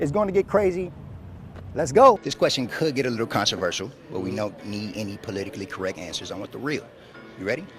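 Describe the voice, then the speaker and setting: With music in the background, a man with an American accent talks at a very fast pace at a medium pitch, with very wide pitch swings and big swings in loudness. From United States (Cleveland, Ohio). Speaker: sports and entertainment reporter.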